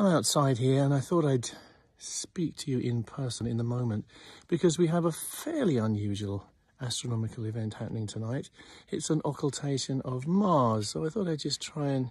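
Against a quiet background, a somewhat breathy man talks at a moderate pace in a dry sound with no echo. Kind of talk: casual vlog chat. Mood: friendly, relaxed, enthusiastic. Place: garden. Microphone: phone near.

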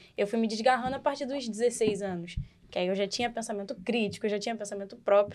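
A woman speaks at a fairly quick pace. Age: 20s. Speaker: Umbanda practitioner. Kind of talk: casual podcast discussion on religion. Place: studio. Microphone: studio mic.

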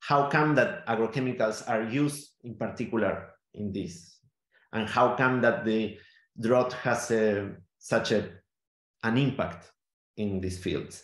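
A man with a Spanish accent talks at a fairly slow pace, with long, frequent pauses, a medium pitch, ordinary pitch variation, audible room echo and a quiet background. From Argentina, Neuquén (Patagonia). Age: 40s. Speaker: theatre maker and sound artist. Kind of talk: interview. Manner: halting, many fillers and repetitions. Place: home room. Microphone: video call.

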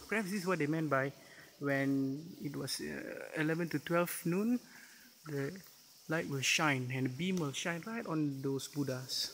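A man at a moderate pace, ordinary pitch variation, light background noise behind him. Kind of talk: casual vlog commentary. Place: tunnel cave. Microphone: phone near.

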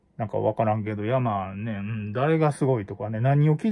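A man with a Kansai accent and a dark, mellow tone, over a quiet background. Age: middle-aged. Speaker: YouTuber; livestream host. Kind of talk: casual monologue. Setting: at home. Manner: halting, many fillers. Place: home room. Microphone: phone near.

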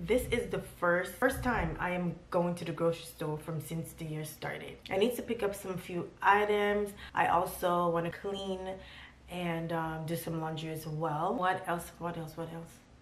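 A woman's fairly low voice at a moderate pace, fairly even in intonation, with audible room echo and light background noise. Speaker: vlogger. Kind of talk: casual vlog chat. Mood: mildly frustrated, then resigned. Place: home room. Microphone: phone near.

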